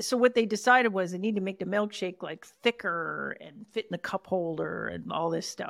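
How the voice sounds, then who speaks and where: A woman with a Canadian accent talks at a moderate pace with hardly any pauses, her medium pitch showing ordinary variation and vocal fry. Her loudness swings widely, and the very clean recording has a silent background and a dry, close sound with no echo. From Canada. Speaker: author and podcast host. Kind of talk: interview conversation.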